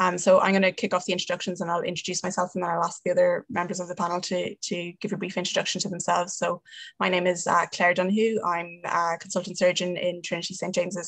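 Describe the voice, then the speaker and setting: Very fast and with hardly any pauses, the speech comes in an Irish accent with a monotone, flat intonation. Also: woman. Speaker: surgeon. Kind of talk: panel moderation.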